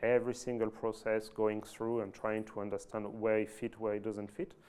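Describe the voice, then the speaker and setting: A man speaks with a French accent at a fairly low pitch. His tone is dark and mellow, his intonation monotone and flat. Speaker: IT manager at an oil and gas company. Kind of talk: fireside chat presentation. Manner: halting, many fillers and restarts.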